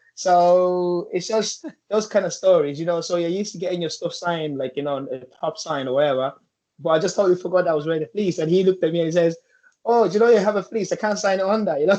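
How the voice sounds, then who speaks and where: With an Irish accent, a man talks very fast at a high pitch with ordinary pitch variation. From Nigeria, raised in Ireland from about age eleven. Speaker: football coach, former professional footballer. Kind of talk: interview. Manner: halting, many fillers.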